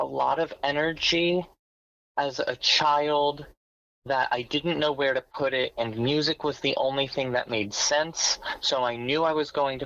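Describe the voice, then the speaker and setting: At a moderate pace, a woman with a very deep, low pitch speaks with very even loudness and fairly even intonation on a very clean recording with a silent background. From New York suburbs. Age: 30s. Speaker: musician and music therapist. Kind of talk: interview.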